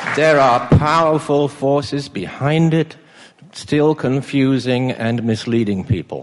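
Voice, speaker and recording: Over noticeable background noise, a man with a fairly high pitch speaks at a very slow pace, with very even loudness and ordinary pitch variation. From England. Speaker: family physician. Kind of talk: speech. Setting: stage with audience. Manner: halting.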